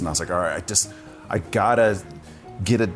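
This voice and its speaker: Music plays behind a man as he speaks. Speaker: podcast host. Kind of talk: podcast interview host. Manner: casual, friendly.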